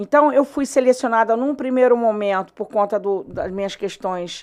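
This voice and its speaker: In a very clean recording with a silent background, a woman speaks at a moderate pace with a fairly high pitch and ordinary pitch variation. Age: 60s. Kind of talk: interview answer. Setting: studio. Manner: halting, frequent repetitions.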